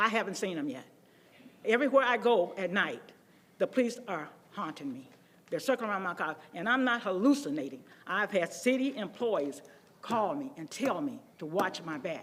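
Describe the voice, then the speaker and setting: A woman's animated, medium-pitched voice with an American accent, very wide pitch swings, big swings in loudness and a moderate pace. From Waukegan, Illinois, US Midwest. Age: 80s+. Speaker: resident speaking at public comment. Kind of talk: public comment at council meeting. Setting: city council chamber.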